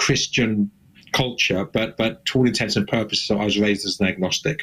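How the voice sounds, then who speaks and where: Speaking with an English accent, a man moves at a fairly quick pace. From southern England, Suffolk. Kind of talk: interview testimony.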